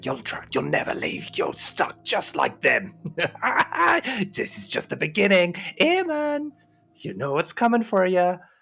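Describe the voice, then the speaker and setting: A man uses a put-on character voice at a high pitch while faint music plays in the background. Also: fairly slow pace. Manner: taunting, menacing.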